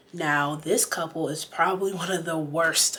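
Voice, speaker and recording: Over noticeable background noise, a woman with a very deep, low pitch speaks in an animated tone at a fairly slow pace. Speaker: reality TV commentator. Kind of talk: casual talk to camera. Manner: chatty, animated.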